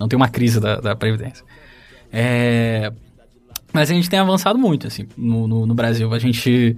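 A voice in a Rio de Janeiro accent speaks with long, frequent pauses. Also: man, medium pitch for a man, ordinary pitch variation, moderate pace. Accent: Rio de Janeiro Brazilian Portuguese. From Rio de Janeiro state, Brazil. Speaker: social worker. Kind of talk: casual chat.

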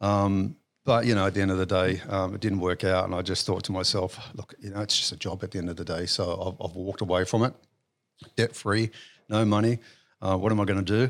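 A man with an Australian accent speaks at a fairly quick pace in a fairly low pitch, his intonation fairly even. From Western Sydney, Australia. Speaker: business owner. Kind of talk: interview. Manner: hesitant, many fillers.

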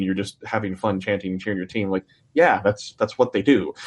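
Delivered at a very fast pace with fairly even intonation, the speech carries an American accent over a quiet background. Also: man. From Michigan. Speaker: hockey podcaster. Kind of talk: casual chat.

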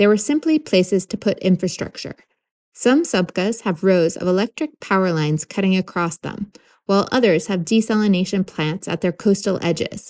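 In a plain, everyday voice, a woman with an American accent speaks at a moderate pace and medium pitch, the sound dry and close with no echo against a quiet background. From New York, US. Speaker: podcast co-host and producer. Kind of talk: scripted narration.

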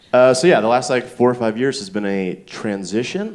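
Amid noticeable background noise, a man with an American accent speaks at a moderate pace and a medium pitch. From US South, Stone Mountain, Georgia. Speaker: comedian and writer. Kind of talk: live podcast banter on stage. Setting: stage with live audience.

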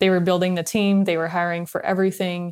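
A woman's medium-pitched voice with a Californian accent and monotone, flat intonation. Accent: Californian American. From Long Beach, California. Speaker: venture capital investor. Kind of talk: interview.

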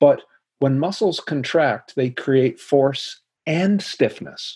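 Somewhat breathy, a man with a dark, mellow tone speaks at a fairly high pitch with lively intonation. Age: 60s. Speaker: spine biomechanics professor. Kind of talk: interview.

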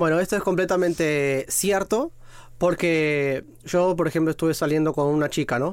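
On a very clean recording with a silent background, a man with a plain, everyday voice and a fairly high pitch talks at a moderate pace with ordinary pitch variation. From Argentina, Mar del Plata; partly raised in Rome. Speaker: podcast guest, single man. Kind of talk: casual chat.

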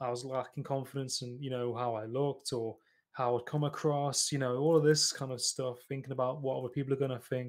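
A man's medium-pitched voice in an East Midlands accent, flat and monotone, at a fairly quick pace, on a very clean recording with a silent background. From England, East Midlands (Nottingham). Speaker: podcast host. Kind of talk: casual interview. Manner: hesitant, many fillers.

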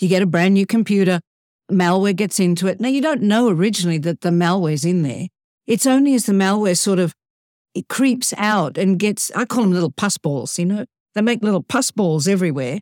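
Recorded dry and close with no echo against a silent background, a woman with a normal speaking voice talks at medium pitch and a fairly quick pace, with lively intonation and very even loudness. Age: 60s. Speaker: professional speaker. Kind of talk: podcast interview.

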